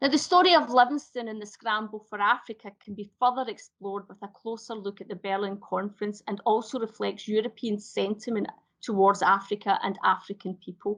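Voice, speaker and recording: In a Glasgow accent, a woman speaks at a fairly high pitch with ordinary pitch variation and big swings in loudness. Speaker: heritage speaker on a panel. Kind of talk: presentation talk. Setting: live online event. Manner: halting, frequent self-corrections.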